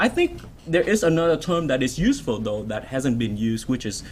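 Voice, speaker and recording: A man speaks with a Vietnamese accent and lively intonation. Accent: Vietnamese rhythm. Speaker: author. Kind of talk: Q&A. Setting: stage with audience. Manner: strong cadence; halting.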